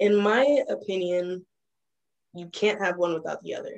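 Speaking with an American accent, a woman keeps a moderate pace. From US South, Fayetteville, North Carolina. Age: 20s. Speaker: law student. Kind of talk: interview.

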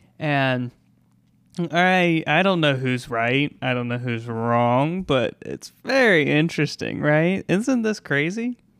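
A man's fairly high-pitched voice at a very slow pace, on a very clean recording with a silent background. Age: 20s. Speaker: podcast co-host. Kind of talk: casual chat.

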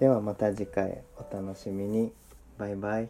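A man's dark, mellow, soothing tone, fairly low in pitch and in a monotone, flat intonation. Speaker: podcast host. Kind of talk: casual chat.

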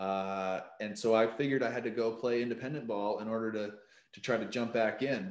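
A man's medium-pitched voice with an American accent, fairly even intonation, and big swings in loudness. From Maine, US (Bangor). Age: 20s. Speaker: professional baseball pitcher. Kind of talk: casual interview. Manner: hesitant, many fillers and repetitions.

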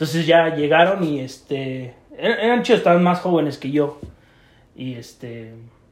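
Over noticeable background noise and audible room echo, a man speaks at a fairly slow pace with a fairly high pitch and ordinary pitch variation. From Mexico, State of Mexico. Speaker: podcast co-host. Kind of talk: casual chat.

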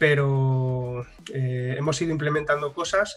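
Pitched fairly high, a man speaks in a somewhat breathy voice. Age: 30s. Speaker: animation studio founder and blogger. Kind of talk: casual interview. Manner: animated.

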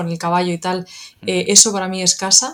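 A woman at medium pitch speaks in a flat, monotone way. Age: 30s. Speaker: video game PR manager. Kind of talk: casual chat.

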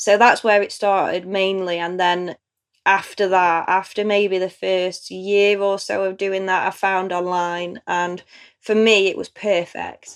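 In a strong East Midlands accent, a woman speaks at a fairly slow pace with a medium pitch and a monotone, flat intonation, on a very clean recording with a silent background. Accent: strong Derbyshire East Midlands English. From Chesterfield, Derbyshire, England. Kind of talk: interview about personal story.

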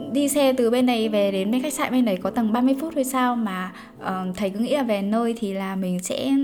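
A woman speaks in an animated tone at a moderate pace over noticeable background noise. Her pitch is fairly high with ordinary variation. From Vietnam. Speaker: podcaster and life coach. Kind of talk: casual storytelling monologue.

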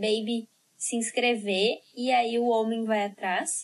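A woman talks very slowly in a high-pitched voice. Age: 20s. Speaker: sexologist and podcast host. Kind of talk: casual chat.

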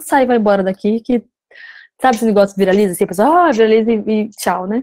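Dry, close sound with no echo around a woman's fairly high voice with a dark, mellow tone. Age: 30s. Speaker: entrepreneur and social media creator. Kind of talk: casual chat.

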